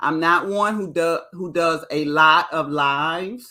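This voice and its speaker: A woman speaks loudly at a very slow pace. Her voice is fairly low in pitch, with a bright, sharp tone. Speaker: YouTube reality TV reviewer. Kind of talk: live stream commentary. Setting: live stream. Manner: excited.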